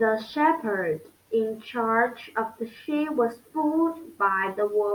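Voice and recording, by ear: A text is being read aloud. It comes in a natural voice.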